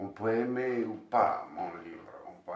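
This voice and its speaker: Audible room echo surrounds a man who speaks with a slight non-native accent. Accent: slight foreign accent in French. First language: Bosnian (speaking French). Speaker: novelist. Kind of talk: interview. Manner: halting, with many repeated words.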